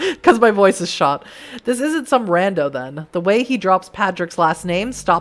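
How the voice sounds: Lively intonation in a natural reading voice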